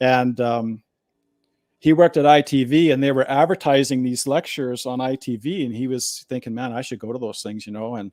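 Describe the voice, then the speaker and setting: In a dry, close recording with no echo, a man with a western Canadian accent talks at a fairly quick pace and ordinary pitch variation. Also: medium pitch for a man. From Alberta, Canada. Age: 60s. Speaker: former political candidate. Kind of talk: interview testimony. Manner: casual, filler-heavy.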